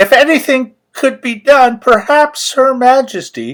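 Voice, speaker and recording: In a put-on character voice, a man goes extremely high and shrill, speaking at a fairly slow pace. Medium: read story. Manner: formal, gallant, elaborately polite.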